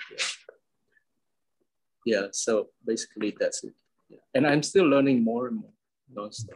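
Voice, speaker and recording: A man with a Medan accent and long, frequent pauses. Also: moderate pace, big swings in loudness. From Indonesia, Medan. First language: Medan Hokkien. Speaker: interviewee. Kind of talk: interview. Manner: halting.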